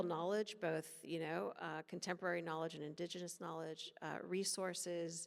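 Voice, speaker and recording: A plain, everyday voice: a woman with a fairly low pitch and an American accent, fairly even intonation, a moderate pace and hardly any pauses. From United States. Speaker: policy expert. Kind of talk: panel discussion.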